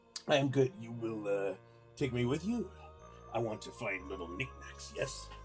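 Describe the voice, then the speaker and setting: Over clear music in the background, a man uses a put-on character voice of fairly low pitch, moderate pace, very wide pitch swings and big swings in loudness. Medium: game stream. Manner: broken English, hesitant "eh", sly.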